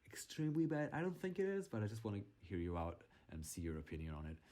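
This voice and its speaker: Speaking at a moderate pace with a non-native accent, a man has a fairly low pitch and a somewhat breathy voice. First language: not English. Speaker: gaming YouTuber. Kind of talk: game voiceover commentary. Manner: halting, with fillers and restarts; casual.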